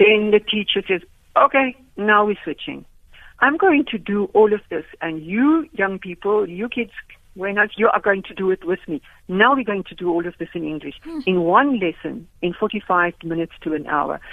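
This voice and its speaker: In a South African accent, the speaker moves at a moderate pace with lively intonation and big swings in loudness. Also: woman, medium pitch for a woman. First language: Afrikaans. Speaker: education professor. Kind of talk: radio interview. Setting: phone call.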